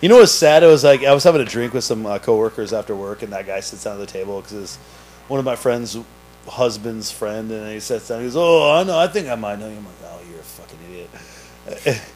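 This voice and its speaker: Talking at a fairly quick pace with lively intonation and big swings in loudness, a man with a medium pitch has a slight East Coast US accent. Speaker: podcast host and restaurant server. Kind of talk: casual chat.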